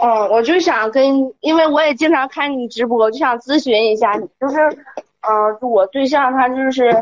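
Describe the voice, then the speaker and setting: Moderate pace and ordinary pitch variation from a woman with a high voice. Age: 20s. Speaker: caller. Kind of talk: personal account on advice call. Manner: halting.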